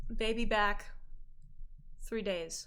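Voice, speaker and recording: A hissing, put-on character voice, female-sounding and fairly high in pitch. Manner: hissing, terse.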